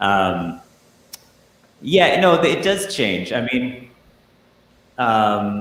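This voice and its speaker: With audible room echo, a man at medium pitch speaks at a very slow pace, pausing long and often, his pitch swinging very widely. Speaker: musician. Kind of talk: casual interview.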